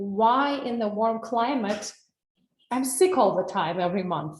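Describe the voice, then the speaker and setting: With a Russian accent, a woman talks at a moderate pace in a fairly high, somewhat breathy voice. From Russia, Saint Petersburg. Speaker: wellness coach. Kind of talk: webinar presentation. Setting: online webinar.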